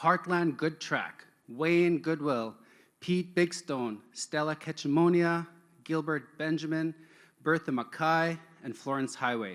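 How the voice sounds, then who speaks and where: This man speaks in a normal speaking voice, pitched fairly high. His pace is fairly slow. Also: ordinary pitch variation. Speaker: event emcee. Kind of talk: live event hosting. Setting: stage at an online-streamed event. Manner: casual, upbeat.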